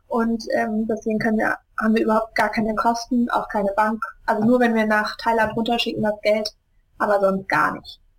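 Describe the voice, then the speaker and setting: A woman's somewhat breathy, fairly high voice, monotone and flat, at a moderate pace. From Germany, Hesse (Wiesbaden). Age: 20s. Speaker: charity founder. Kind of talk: interview. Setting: Skype call.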